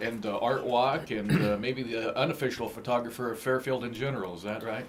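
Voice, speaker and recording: Speech comes at a fairly quick pace with fairly even intonation. There is noticeable background noise. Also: man, medium pitch for a man. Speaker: radio host. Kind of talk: radio interview.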